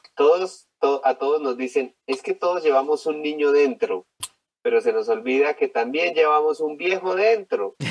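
A man with an unremarkable speaking voice, lively intonation and a fairly slow pace, in a dry, close sound with no echo. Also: fairly high pitch for a man. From Colombia. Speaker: geriatrician. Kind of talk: interview, storytelling.

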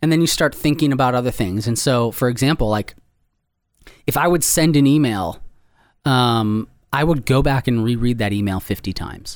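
A man's medium-pitched, unremarkable speaking voice at a moderate pace, with ordinary pitch variation. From Wisconsin. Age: 30s. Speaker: author. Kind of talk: interview. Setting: studio.

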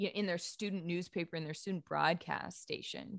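A woman with an American accent and fairly even intonation, on a very clean recording with a silent background. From New England (Boston area and Maine). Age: 30s. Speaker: sports journalist. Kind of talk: interview.

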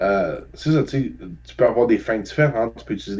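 A man's voice has a dark, mellow tone and lively intonation. His pace is moderate. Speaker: video game podcast co-host. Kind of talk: casual chat.

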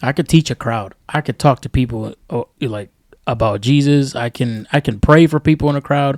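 On a very clean recording with a silent background and a dry, close sound with no echo, a man with an American accent speaks in a plain, everyday voice at medium pitch and a moderate pace, with ordinary pitch variation. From New York. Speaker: podcast co-host. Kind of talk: casual chat.

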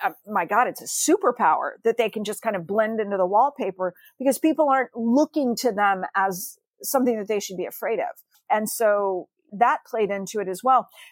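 A woman talks at a fairly quick pace in a plain, everyday voice with ordinary pitch variation, recorded very cleanly with a silent background and a dry, close sound with no echo. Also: fairly high pitch for a woman. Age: 50s. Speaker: novelist. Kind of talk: interview.

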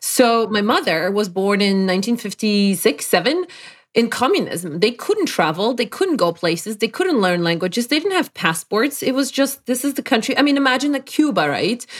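Speaking in a Polish accent at a moderate pace with hardly any pauses, a woman's fairly high pitch swings very widely on a very clean recording with a silent background. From Poland. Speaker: life performance coach. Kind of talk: interview.

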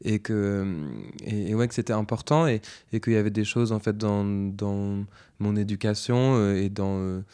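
Against a quiet background, a man with a dark, mellow tone speaks at a fairly low pitch with fairly even intonation. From northern France (Picardy). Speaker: singer-songwriter. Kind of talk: interview. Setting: at home. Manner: halting.

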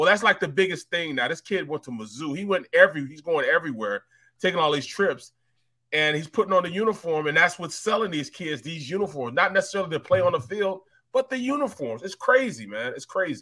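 A man with an American accent at a high pitch, bright and sharp in tone, talking at a very fast pace with very wide pitch swings and big swings in loudness, on a very clean recording with a silent background. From St. Louis, Missouri. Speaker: sports podcast host. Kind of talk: casual chat.

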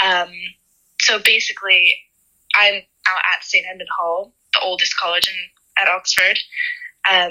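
This woman talks at a moderate pace in an American accent, her pitch medium, with long, frequent pauses. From US, Pennsylvania. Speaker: university student. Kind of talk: interview.

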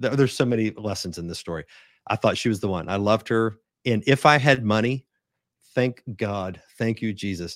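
A man speaks at a moderate pace in an ordinary speaking voice, fairly low in pitch with ordinary pitch variation, recorded very cleanly against a silent background with a dry, close sound and no echo. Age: 40s. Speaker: pastor. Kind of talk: interview conversation.

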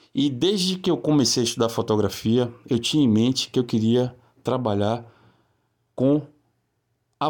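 A man's medium-pitched voice at a moderate pace, with ordinary pitch variation, on a very clean recording with a silent background. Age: 40s. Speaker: photographer. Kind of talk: video presentation of own work.

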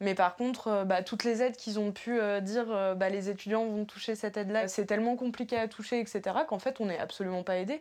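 Her fairly high voice moving along at a fairly quick pace, a woman speaks with fairly even intonation. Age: 20s. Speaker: university student, volunteer. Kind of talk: interview. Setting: student dorm room. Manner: halting.

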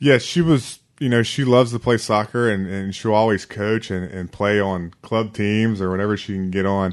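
Delivered in an ordinary speaking voice with an American accent, the speech keeps a moderate pace with hardly any pauses and ordinary pitch variation against a quiet background. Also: man, fairly low pitch for a man. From Virginia. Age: 30s. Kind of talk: interview.

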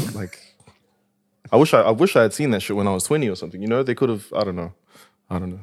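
A man with a New Zealand accent, fairly low in pitch, very fast but with long, frequent pauses and ordinary pitch variation. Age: 20s. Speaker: rapper. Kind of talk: casual chat.

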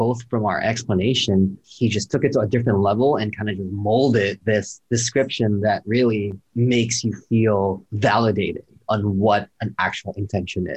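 Somewhat breathy, a man talks at a moderate pace in a fairly low pitch. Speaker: podcast host. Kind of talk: casual conversation. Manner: upbeat, enthusiastic.

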